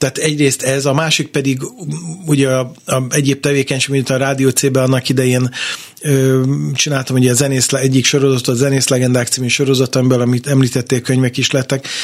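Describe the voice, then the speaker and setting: A man speaks at a very fast pace and a medium pitch. His intonation is monotone and flat, and his loudness stays very even. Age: 50s. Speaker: jazz guitarist and radio presenter. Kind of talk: interview. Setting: studio.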